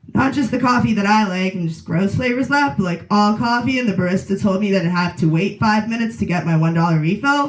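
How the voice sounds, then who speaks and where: A woman of medium pitch talks at a very fast pace with lively intonation and hardly any pauses, amid audible room echo and noticeable background noise. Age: 20s. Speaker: comedian. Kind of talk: stand-up. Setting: stage with audience.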